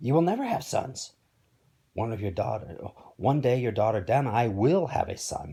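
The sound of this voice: Putting on a character voice, a man speaks at a moderate pace and medium pitch, his dark, mellow tone carrying a slightly husky edge, vocal fry and big pitch swings.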